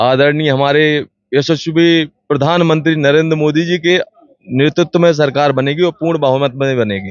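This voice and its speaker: This man's voice sits fairly high in pitch and holds a very even loudness. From Madhya Pradesh, Datia district. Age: young. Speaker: local politician. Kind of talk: street interview. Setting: party office, on location. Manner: animated.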